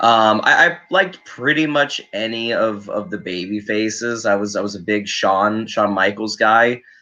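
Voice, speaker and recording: The recording has a quiet background. A man of medium pitch speaks at a moderate pace with a bright, sharp tone. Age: 20s. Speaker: wrestling podcast host. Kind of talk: casual interview. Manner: halting, repeats words.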